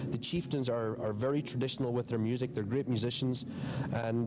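A man races along at a very fast pace while noticeable background noise sounds behind him. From Northern Ireland. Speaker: musician, band co-founder. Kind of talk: interview, reminiscing. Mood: warm, reminiscing. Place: stage.

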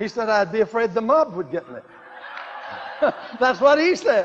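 A man with an American accent and an extremely high pitch speaks at a moderate pace with lively intonation, over noticeable background noise. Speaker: preacher / televangelist. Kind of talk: sermon, teaching talk with personal anecdotes. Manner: earnest, storytelling, chuckling, with repetitions.

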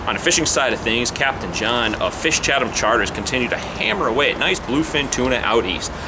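A man speaks at a fairly quick pace and medium pitch with lively intonation over loud background noise.

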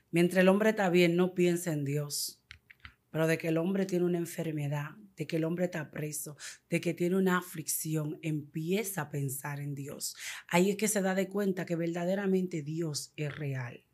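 Against a quiet background, a woman speaks at a moderate pace with a fairly low pitch and fairly even intonation. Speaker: evangelical convert giving testimony; guest. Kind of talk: testimony. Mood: earnest, emotional. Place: studio. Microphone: studio mic.

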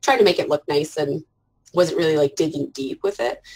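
A woman with a Canadian accent. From Canada. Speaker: art journaler and parent; interview guest. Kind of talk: casual interview chat. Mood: warm, reflective. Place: home room. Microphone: earbuds.

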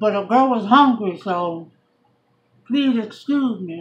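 A woman speaks somewhat breathily at a fairly high pitch with ordinary pitch variation. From New York, Puerto Rican background. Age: 40s. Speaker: YouTube vlogger. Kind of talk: casual mukbang chat to camera. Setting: eating on camera at home. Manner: animated; chatty. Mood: relaxed, chatty. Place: home room. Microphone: phone near.

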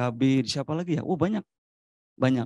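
Against a quiet background, a man's tone comes across dark and mellow. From Majalengka, West Java; West Java. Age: 40s. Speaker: local government official. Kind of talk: panel discussion. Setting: forum with live audience. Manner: animated. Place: hall. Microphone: handheld.

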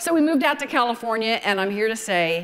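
A woman with a Southern US accent talks at a moderate pace in a fairly high, animated voice. Her pitch swings very widely. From US South, Georgia. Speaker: wedding photographer. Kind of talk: lecture. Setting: stage with audience. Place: stage.

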